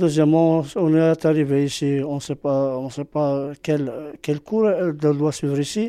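This voice, in an Arabic accent, has a dark, mellow tone, fairly even intonation and a fairly slow pace. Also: man, fairly high pitch for a man. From Algeria. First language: Arabic (speaking French). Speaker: immigrant parent. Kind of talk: testimony. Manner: halting.

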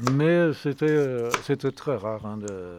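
The man speaks with lively intonation. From Savoie, France. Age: 70s. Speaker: retired winegrower. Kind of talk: interview. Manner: halting.

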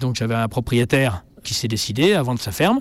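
A normal speaking voice from a man, fairly quick in pace and medium in pitch. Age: 50s. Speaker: farmer. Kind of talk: interview.

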